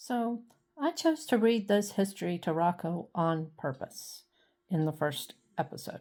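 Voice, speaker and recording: Speaking in an American accent, a woman has a medium pitch and a dark, mellow tone. Her intonation is lively and her pace fairly slow. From South Carolina Lowcountry, Colleton County. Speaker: historian and dog channel creator. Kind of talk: personal vlog narration.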